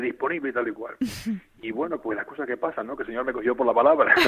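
A man's voice with lively intonation amid noticeable background noise. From Canary Islands, La Palma. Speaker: bishop. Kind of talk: interview.

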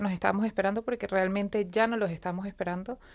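A woman talks in a normal speaking voice at a medium pitch, with fairly even intonation. The recording is very clean, with a silent background. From Venezuela. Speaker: wife of cancer patient. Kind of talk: testimony. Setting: live radio.

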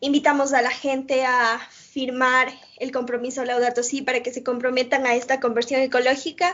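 A woman speaks in a high pitch at a moderate pace. Her intonation is monotone and flat. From Ecuador. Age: 20s. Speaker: youth climate movement coordinator. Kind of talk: interview.

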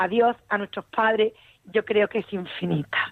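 The voice is a woman's. It sits fairly high in pitch. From Andalusia, Spain (Utrera, Seville). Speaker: radio caller. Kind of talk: personal testimony.

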